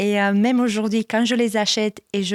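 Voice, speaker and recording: A woman speaks at a moderate pace with fairly even intonation. The recording is very clean, with a silent background and a dry, close sound with no echo. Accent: Romanian. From Romania. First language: Romanian (speaking French). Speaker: church communications manager. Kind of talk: testimony. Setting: studio.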